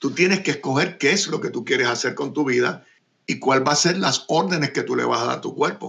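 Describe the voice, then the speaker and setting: A man with a normal speaking voice talks fairly quickly at a fairly high pitch, his intonation lively. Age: 60s. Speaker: radio and TV producer and host. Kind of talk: interview.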